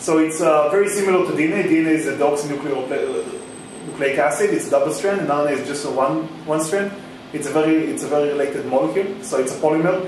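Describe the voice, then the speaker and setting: There is audible room echo and noticeable background noise as a man talks at a very fast pace with ordinary pitch variation. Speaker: presenter. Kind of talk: lecture. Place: hall. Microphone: camera far.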